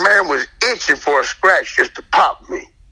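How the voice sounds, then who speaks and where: Clearly audible background noise behind a man talking at a medium tempo. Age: 50s. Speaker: community member recounting police incident. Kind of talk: testimony.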